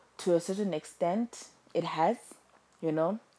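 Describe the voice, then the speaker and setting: A woman speaks with a fairly low pitch and a dark, mellow tone. The background is quiet. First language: not English. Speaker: podcast host sharing personal story. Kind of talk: personal testimony monologue. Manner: halting, many fillers.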